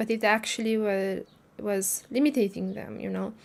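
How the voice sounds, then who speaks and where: The woman talks with a non-native accent. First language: not English. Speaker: spiritual livestreamer. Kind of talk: casual livestream talk. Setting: livestream. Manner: halting, many fillers.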